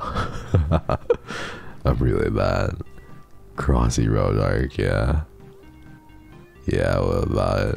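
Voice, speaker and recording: The speech comes at a very slow pace. Faint music plays in the background, and the sound is dry with no echo. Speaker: streamer playing a story game. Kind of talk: casual, profane. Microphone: studio mic.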